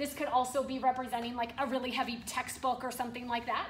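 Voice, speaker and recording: A woman speaks at a very fast pace and a high pitch. Light background noise and audible room echo surround her voice. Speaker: fitness coach. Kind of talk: workout instruction. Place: gym. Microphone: phone near.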